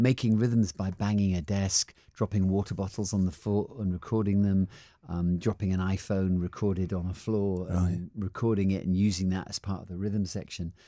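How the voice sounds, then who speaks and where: Against a quiet background, a man's fairly low, dark, mellow voice moves at a moderate pace with fairly even intonation in a dry sound with no echo. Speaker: guest. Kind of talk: interview answer. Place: studio. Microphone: studio mic.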